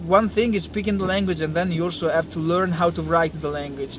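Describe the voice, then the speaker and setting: A man with an Italian accent, high-pitched, at a fairly quick pace, over noticeable background noise. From Italy. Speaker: engineer and language-learning vlogger. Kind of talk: casual talk to camera. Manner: hesitant, many fillers.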